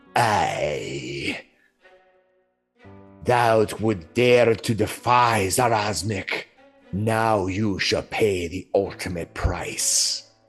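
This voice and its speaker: A low-pitched, put-on character voice at a very slow pace, with long, frequent pauses and faint music in the background. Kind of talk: archaic, theatrical. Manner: menacing, archaic threat.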